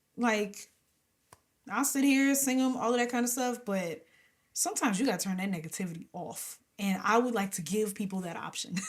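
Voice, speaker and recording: Somewhat breathy and animated, the speaker talks at a fairly quick pace with lively intonation and an American accent. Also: woman, fairly high pitch for a woman. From New Jersey. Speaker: gospel and R&B singer. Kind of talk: interview.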